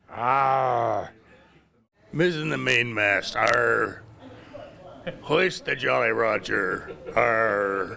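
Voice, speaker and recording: A man puts on a raspy character voice at a medium pitch. He talks very slowly with long, frequent pauses. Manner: playful, exaggerated.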